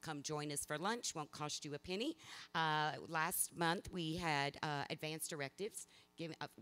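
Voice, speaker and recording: A woman speaks in a Southern US accent at a very deep, low pitch and a moderate pace. Her pitch varies in an ordinary way, and music plays in the background. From US South, South Mississippi. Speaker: hospice chief executive. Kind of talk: community presentation.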